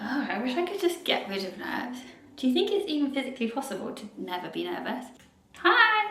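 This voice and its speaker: A woman with a British accent uses a raised, projected voice, high in pitch with very wide pitch swings, at a fairly quick pace. The recording has audible room echo and noticeable background noise. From UK. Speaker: vlogger and actor. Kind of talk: casual vlog chat.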